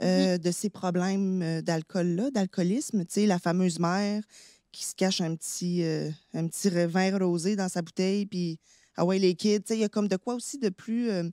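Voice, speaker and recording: With a Quebec accent, a woman speaks fairly slowly at a medium pitch, her dark, mellow tone and fairly even intonation captured dry and close with no echo in a very clean recording with a silent background. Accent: Québécois French. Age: 30s. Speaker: actress. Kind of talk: personal testimony in casual chat.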